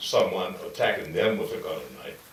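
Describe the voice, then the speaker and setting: A man keeps a moderate pace while audible room echo and noticeable background noise fill the recording. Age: 60s. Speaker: school founder. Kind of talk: interview.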